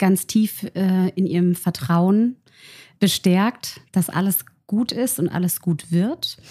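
A woman's dark, mellow, somewhat breathy voice at medium pitch with fairly even intonation, in a very clean, dry, close recording with no echo and a silent background. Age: 40s. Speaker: make-up artist. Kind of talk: conversational interview.

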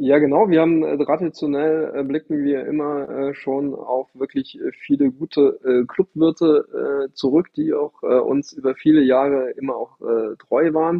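The man's fairly high voice stays monotone and flat as he speaks at a fairly slow pace. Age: 40s. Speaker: amateur tennis player and club member. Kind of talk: casual interview.

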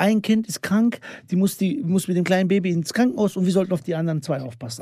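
A man speaks very fast in a high voice, his intonation lively. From Bosnia / Sandžak region (Balkan background). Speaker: comedian / social media creator. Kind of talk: casual chat.

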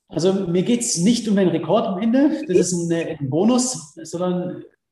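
Through audible room echo, a man speaks fairly slowly in a high voice with lively intonation. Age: 30s. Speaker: extreme athlete and adventurer. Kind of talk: interview. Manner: hesitant, many fillers.

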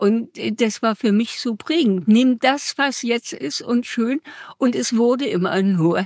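A woman speaks very slowly at a fairly high pitch, her pitch swinging very widely. The sound is dry and close, with no echo. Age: 80s+. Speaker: retiree interviewee. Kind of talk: casual chat. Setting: ice cream café. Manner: energetic.

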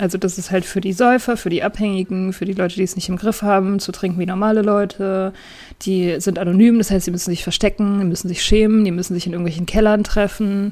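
Speaking at a very fast pace, a woman has a dark, mellow tone. Her intonation stays flat and monotone. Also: medium pitch for a woman. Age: 30s. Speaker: podcaster in addiction recovery. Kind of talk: casual interview.

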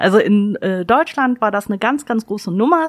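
A woman with a fairly high pitch swings very widely in pitch, in a dry, close sound with no echo. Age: 30s. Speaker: library staff podcast co-host. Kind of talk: casual chat.

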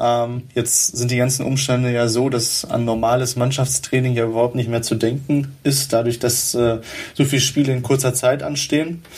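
Over noticeable background noise, a man at a medium pitch speaks at a moderate pace in a flat monotone, his loudness very even. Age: 20s. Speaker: football club writer. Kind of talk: casual football chat. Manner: many fillers, hesitant.

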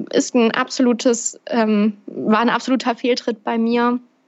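The woman has an ordinary speaking voice with a fairly high pitch. Her intonation stays fairly even. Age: 20s. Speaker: podcaster and speaker on personal development. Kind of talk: interview.

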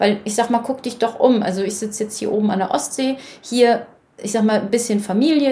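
Noticeable background noise surrounds a woman speaking at a moderate pace. Her pitch is fairly high, with ordinary variation. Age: 30s. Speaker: financial coach, former banker. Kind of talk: interview.

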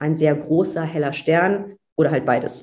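This woman has a very deep, low pitch. Her tone is dark and mellow. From Germany, Cologne. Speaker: astronaut trainee and astrophysicist. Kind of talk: casual interview.

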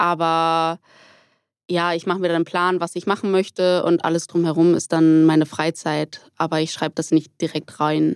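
In a very clean recording with a silent background and a dry, close sound with no echo, a woman speaks at a fairly low pitch with monotone, flat intonation. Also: moderate pace. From Hamburg, northern Germany. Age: 20s. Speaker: roller skating instructor and student. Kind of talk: casual interview.

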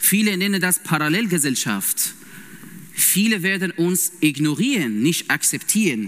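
A man's high-pitched voice with a Persian accent, very slow and with very wide pitch swings. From Iran. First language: Persian (speaking German). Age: 30s. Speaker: lay preacher and intensive care nurse. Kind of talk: sermon. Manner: halting, with many fillers.

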